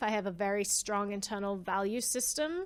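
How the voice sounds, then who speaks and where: Moderate pace from a woman, very clean recording, silent background. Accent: Australian. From Australia. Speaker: privacy advocate. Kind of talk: interview conversation.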